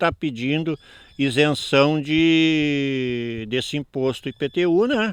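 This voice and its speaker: The man's voice is fairly high in pitch, with a dry, close sound and no echo. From southern Brazil, Porto Alegre rural area. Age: 60s. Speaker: farmer. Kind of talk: interview. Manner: halting.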